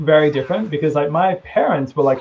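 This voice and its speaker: With an Australian accent, a man talks in a dark, mellow tone. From Australia, Melbourne. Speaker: gamer. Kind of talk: casual chat.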